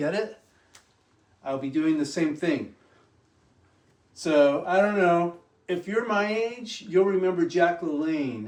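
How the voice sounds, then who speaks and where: With long, frequent pauses and a very slow pace, a man speaks high for a man, with ordinary pitch variation. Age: 60s. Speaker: fitness vlogger. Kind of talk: casual tutorial. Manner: casual, rambling delivery.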